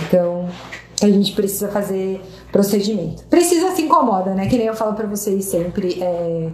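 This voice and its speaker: Moderate pace, audible room echo and noticeable background noise. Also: woman. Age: 30s. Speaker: dermatologist. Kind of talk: live Q&A stream. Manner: casual, with many fillers.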